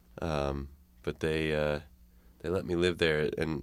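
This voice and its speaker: A man with a Chicago accent has a very deep, low pitch. His intonation is monotone and flat. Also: very clean recording, silent background. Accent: Chicago American. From Chicago area, US. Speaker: musician. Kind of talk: radio interview. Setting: radio studio.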